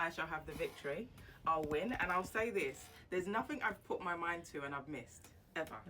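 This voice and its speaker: Someone talks at a fairly quick pace with lively intonation in a London accent. Music plays behind the voice. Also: woman, fairly low pitch for a woman. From East London (Barking), England. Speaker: business strategist. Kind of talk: interview.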